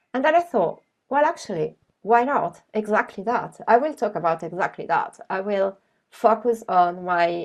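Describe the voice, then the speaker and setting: A woman talks at a fairly slow pace with an Italian accent. The background is quiet. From Italy. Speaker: graphic novelist. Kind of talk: presentation. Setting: video call.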